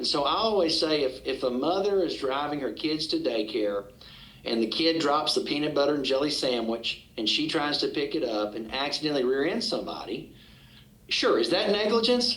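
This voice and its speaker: A man with a Southern US accent talks at a fairly high pitch, his voice making very wide pitch swings. Background noise is noticeable. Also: moderate pace. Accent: Southern American. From Arkansas, USA. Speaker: trial attorney, auctioneer. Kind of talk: podcast interview answer.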